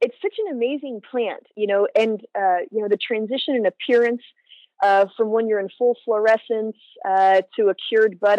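A woman with an American accent speaks in an ordinary speaking voice at a moderate pace. Her pitch varies in an ordinary way, and the sound is dry and close with no echo. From US West Coast (San Francisco Bay Area). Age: 40s. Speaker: cannabis scientist. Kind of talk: interview.

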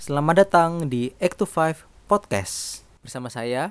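A man's lively intonation comes through in a dry, close recording with no echo. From East Java, Jember. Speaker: podcast co-host, banker. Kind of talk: casual chat.

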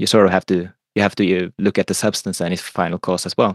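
This man's voice sits very deep and low. The sound is dry and close with no echo, over a quiet background. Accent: Norwegian. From Norway. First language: Norwegian. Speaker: philosopher and economist. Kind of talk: casual chat. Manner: halting.

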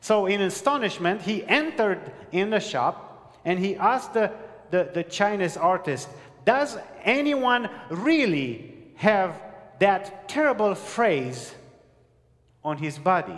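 A man with a non-native accent, high-pitched, very slow, with very wide pitch swings over noticeable background noise. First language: not English. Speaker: pastor. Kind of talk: sermon. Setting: church with live congregation.

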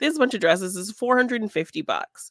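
A woman talks in a plain, everyday voice. Her intonation is lively. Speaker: podcast co-host and artist. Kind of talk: casual chat and film review. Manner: giggly, often laughing.

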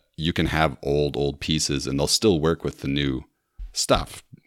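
With vocal fry and a very deep, low pitch, a man talks at a moderate pace using fairly even intonation. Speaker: former podcast host, Lego enthusiast. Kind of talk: casual interview chat.

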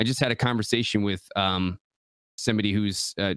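This man speaks fairly quickly with an Upper Midwest accent, his pitch fairly low and his intonation fairly even. The sound is dry and close, with no echo. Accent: Upper Midwest American. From Michigan. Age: 30s. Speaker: content creator. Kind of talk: casual chat.

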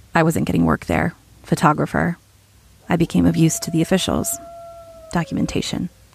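A woman speaking at a moderate pace against noticeable background noise. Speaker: audio drama narrator. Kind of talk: found-audio horror narration, intimate diary-style monologue. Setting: audio diary recorded into a recorder. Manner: hushed, halting and dread-filled, with uneasy pauses and self-corrections.

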